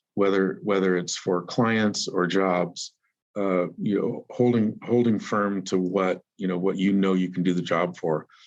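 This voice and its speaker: A man's fairly low pitch at a fairly slow pace, against a quiet background. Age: 60s. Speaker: painting company owner and business consultant. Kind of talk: interview. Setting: podcast. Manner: halting, many repetitions and fillers.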